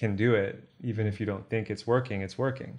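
Over a quiet background, a man with a normal speaking voice talks fairly quickly in an American accent. His pitch sits fairly low, and his intonation stays fairly even. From Texas. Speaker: coach and entrepreneur. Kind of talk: interview.

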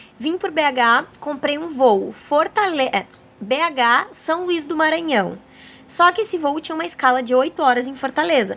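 A woman speaks at a high pitch with lively intonation. Her pace is fairly slow. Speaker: podcast host, travel and self-discovery. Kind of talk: casual interview chat. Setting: bungalow by the beach, on location.

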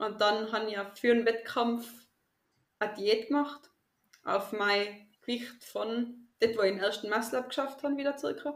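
Moderately paced, a woman speaks in a plain, everyday voice, fairly high in pitch with fairly even intonation. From Austria, Tyrol. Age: 20s. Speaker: teacher and calisthenics athlete. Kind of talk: interview.

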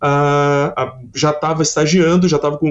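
The speaker has an unremarkable speaking voice. Pitch variation is ordinary and the pace moderate. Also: man. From Santa Catarina, Brazil (Criciúma). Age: 30s. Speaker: design professor. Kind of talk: casual interview.

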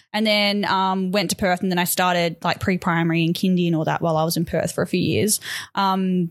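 A woman with an Australian accent speaks at a medium pitch and fairly quick pace, with fairly even intonation. Her loudness is very even, and the recording is very clean with a silent background. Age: 30s. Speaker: podcast co-host. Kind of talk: casual chat.

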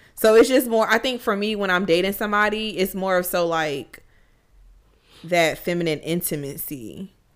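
At a moderate pace, a woman talks in an animated tone with a medium pitch and ordinary pitch variation. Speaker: podcast co-host. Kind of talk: casual chat. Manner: animated, casual.

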